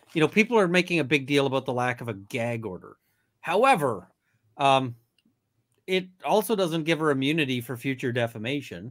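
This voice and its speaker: A man with an unremarkable speaking voice, pitched fairly high, talks at a fairly quick pace. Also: lively intonation. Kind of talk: casual chat. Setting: video call.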